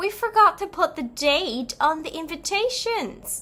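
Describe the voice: A woman's put-on character voice, extremely high pitch, bright and sharp in tone, lively intonation, fairly slow pace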